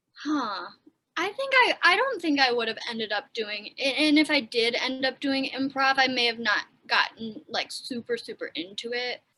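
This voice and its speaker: With an American accent, this raised, projected voice moves at a moderate pace with lively intonation. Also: woman, high pitch for a woman. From Wisconsin, US Midwest. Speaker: actor and aspiring comedian. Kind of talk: casual chat.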